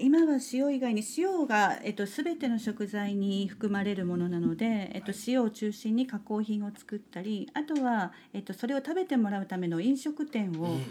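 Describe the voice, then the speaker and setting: The voice is somewhat breathy, with a dark, mellow tone and lively intonation. It moves at a moderate pace with hardly any pauses. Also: woman, fairly high pitch for a woman. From Japan, Kitakyushu (Kokura, Fukuoka). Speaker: salt maker and farmer. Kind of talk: casual interview.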